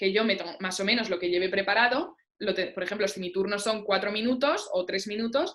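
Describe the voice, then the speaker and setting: A woman speaks at a fairly quick pace. Her pitch sits in the middle of her range and varies in an ordinary way. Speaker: debate coach. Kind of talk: workshop lecture. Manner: fast.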